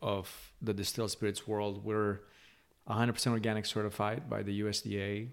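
A man's fairly low voice with a Romanian accent, in a very clean recording with a silent background. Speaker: spirits company founder and CEO. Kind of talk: interview. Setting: home bar.

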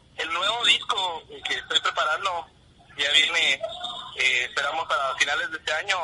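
A man speaks at a fairly slow pace with a Guatemalan accent. Noticeable background noise runs underneath. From Guatemala, Huehuetenango. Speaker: rock musician. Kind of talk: interview.

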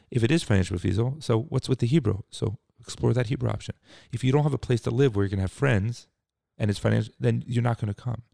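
A man with a Philadelphia accent talks very fast in a medium pitch, his tone dark and mellow with vocal fry. His pitch varies an ordinary amount, and the sound is dry and close with no echo. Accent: Philadelphia-area American. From US Northeast (Cherry Hill, New Jersey, Philadelphia suburbs). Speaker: nonprofit executive. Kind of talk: interview. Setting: office suite near the beach.

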